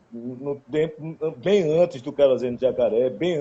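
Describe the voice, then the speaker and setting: The voice has a dark, mellow tone and a strong northeastern Brazilian accent. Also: man. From Caruaru, Pernambuco, Brazil. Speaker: singer-songwriter. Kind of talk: casual interview chat.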